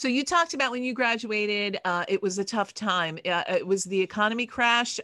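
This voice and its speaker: A woman talks at a fairly high pitch and a fairly quick pace, with a bright, sharp tone and lively intonation. The recording is very clean, with a silent background. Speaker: podcast host. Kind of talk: interview.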